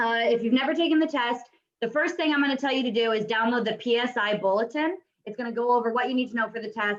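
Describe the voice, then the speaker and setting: A woman's fairly high voice at a very fast pace. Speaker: real estate exam prep instructor. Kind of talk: online class lecture. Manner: casual, many filler words.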